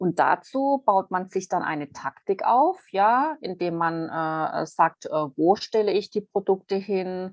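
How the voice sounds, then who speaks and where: A woman of medium pitch talks at a very slow pace. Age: 40s. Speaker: retail category manager and author. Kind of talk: interview.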